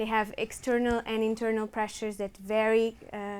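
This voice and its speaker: A woman with a Portuguese accent, fairly high in pitch, at a moderate pace. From Portugal. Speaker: revenue management manager. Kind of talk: conference presentation.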